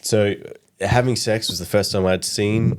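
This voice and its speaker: A man speaks with an Australian accent. His fairly low voice shows ordinary pitch variation. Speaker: comedy podcast co-host. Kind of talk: casual chat.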